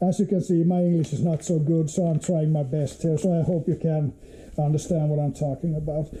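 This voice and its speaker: A man talks at a fairly quick pace in a fairly high pitch. His intonation is monotone and flat, and his loudness stays very even. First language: Finnish. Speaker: motorcycle hobbyist vlogger. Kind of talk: unboxing video. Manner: halting, many fillers.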